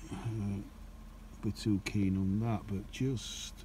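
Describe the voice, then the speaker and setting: A man's fairly even delivery, dry with no echo, over light background noise. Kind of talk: casual nature commentary. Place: open country. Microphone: phone near.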